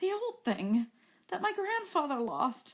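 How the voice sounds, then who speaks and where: Putting on a character voice, a woman speaks hoarsely at a fairly slow pace, her high pitch swinging very widely. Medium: read story.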